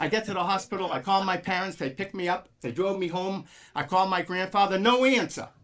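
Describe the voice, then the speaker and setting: With an American accent, a man speaks in a raised, projected voice, his tone animated, bright and sharp. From Massachusetts (Medford area). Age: 70s. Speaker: motivational speaker, marathon runner. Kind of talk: motivational speech. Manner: animated storytelling.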